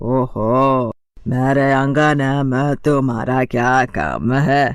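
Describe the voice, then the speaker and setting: A man in a cartoonish character voice talks very slowly at a medium pitch. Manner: loud, commanding.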